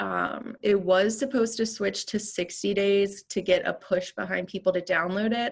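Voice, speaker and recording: Against a quiet background, a woman with vocal fry speaks at a medium pitch and moderate pace, with fairly even intonation and hardly any pauses. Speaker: real estate trainer presenting an app. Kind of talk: training presentation.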